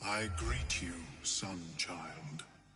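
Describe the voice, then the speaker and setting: Over clear background noise, a man does a put-on character voice with a very deep, low pitch. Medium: video game. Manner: courteous, measured, formal.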